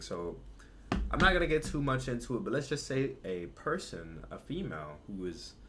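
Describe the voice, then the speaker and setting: A man speaks at a medium pitch with very wide pitch swings. Audible room echo surrounds his voice. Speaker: YouTube reaction commentator. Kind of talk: casual reaction commentary. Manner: animated; fast.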